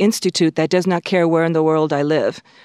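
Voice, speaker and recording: The sound is dry and close with no echo. The recording is very clean, with a silent background. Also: woman. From Hawaii and California, US. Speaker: planetary scientist. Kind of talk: interview. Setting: studio.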